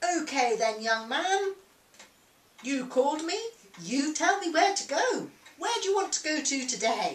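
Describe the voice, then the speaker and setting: A man uses a put-on character voice at an extremely high pitch. He moves at a moderate pace with long, frequent pauses. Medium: read story. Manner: hearty, cheerful.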